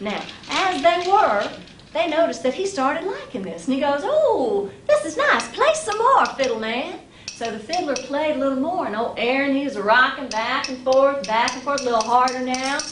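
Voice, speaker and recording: Over noticeable background noise, a woman speaks in an upbeat tone at a high pitch and moderate pace, her intonation lively. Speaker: storyteller. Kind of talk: live storytelling performance. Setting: live audience. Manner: upbeat, humorous.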